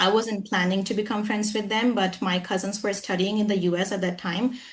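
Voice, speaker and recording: A woman speaks at a fairly quick pace in a somewhat breathy voice. Her intonation is monotone and flat. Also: medium pitch for a woman, very even loudness. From India, Jharkhand. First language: Hindi. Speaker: English trainer. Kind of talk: interview.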